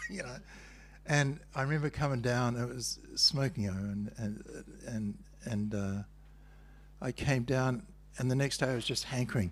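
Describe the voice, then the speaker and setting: A man with a medium-pitched, somewhat breathy voice talks at a moderate pace with ordinary pitch variation and long, frequent pauses. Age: 70s. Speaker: spiritual teacher. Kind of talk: spiritual talk. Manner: conversational.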